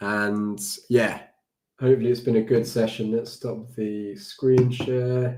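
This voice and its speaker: The speaker has a British accent. The intonation stays monotone and flat. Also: man. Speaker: developer livestreamer. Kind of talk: live coding stream. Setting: livestream with screen share. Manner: casual, halting with fillers.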